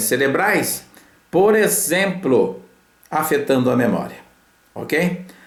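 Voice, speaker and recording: A man speaks with lively intonation. Audible room echo and noticeable background noise surround his voice. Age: 70s. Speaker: physician and health lecturer. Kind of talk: lecture. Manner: hesitant, with filler sounds.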